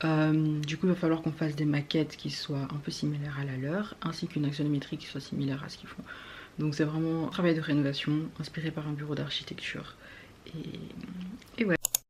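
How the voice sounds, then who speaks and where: With fairly even intonation, a woman talks in a very deep, low pitch. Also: fairly quick pace. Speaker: architecture student vlogger. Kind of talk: casual vlog talk. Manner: fast.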